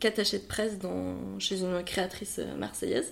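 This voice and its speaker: Speaking at a very slow pace, a woman is heard. Her pitch sits in the medium range. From France, Bordeaux area. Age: 30s. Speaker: wedding planner. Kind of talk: interview. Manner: hesitant, many fillers.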